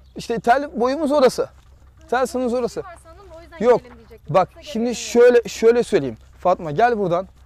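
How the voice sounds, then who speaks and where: An extremely high-pitched man at a moderate pace, animated in tone with lively intonation and long, frequent pauses, in a dry, close sound with no echo over noticeable background noise. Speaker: real estate agent. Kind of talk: property tour video. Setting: outdoors.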